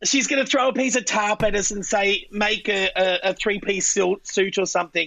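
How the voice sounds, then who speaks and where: A woman's medium-pitched voice in a strong Australian accent, with ordinary pitch variation, a moderate pace and hardly any pauses. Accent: broad Australian. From Australia, central Queensland. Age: 40s. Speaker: drag queen. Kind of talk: casual chat.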